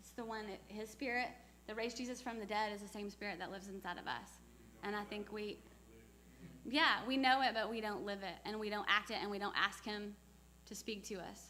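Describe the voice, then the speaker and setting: A woman's voice with long, frequent pauses, fairly even intonation, big swings in loudness, and audible room echo. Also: medium pitch for a woman, fairly quick pace. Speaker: missionary speaker. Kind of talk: church talk with Q&A.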